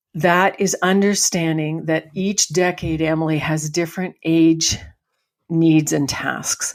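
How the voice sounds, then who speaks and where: A woman speaks very slowly in a fairly low, monotone, flat voice. The recording is very clean with a silent background. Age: 60s. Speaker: farm family transition consultant. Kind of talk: interview.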